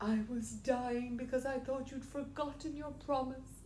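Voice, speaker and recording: Over clear background noise, a woman puts on a high-pitched character voice. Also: moderate pace. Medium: read story.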